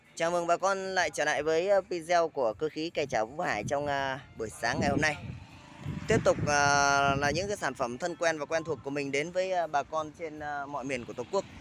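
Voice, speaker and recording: Light background noise sits under a dry sound with no echo. A man talks at a moderate pace with ordinary pitch variation. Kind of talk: product promo commentary. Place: street. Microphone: phone near.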